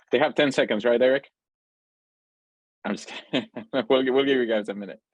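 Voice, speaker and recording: A man talks very fast at a medium pitch. His loudness swings widely. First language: Spanish. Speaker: pediatric cardiac intensivist, lecturer. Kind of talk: lecture. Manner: hesitant with fillers.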